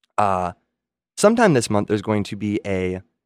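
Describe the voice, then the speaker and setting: A man with an unremarkable speaking voice talks at a fairly low pitch and a moderate pace, in a dry, close sound with no echo on a very clean recording with a silent background. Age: 20s. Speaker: comedy segment performer. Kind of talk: improv comedy. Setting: studio.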